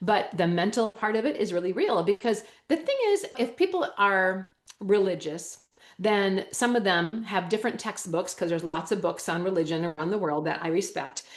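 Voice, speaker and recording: The speaker has a Wisconsin accent and an animated tone, moving at a moderate pace with ordinary pitch variation. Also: woman, medium pitch for a woman. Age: 50s. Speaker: holistic health educator. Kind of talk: interview.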